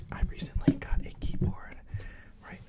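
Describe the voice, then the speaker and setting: A man whispers in a gentle tone over noticeable background noise. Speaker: ASMR creator. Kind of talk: ASMR whispered ramble to camera. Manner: whispering, gentle, rambling, repetitive stutters.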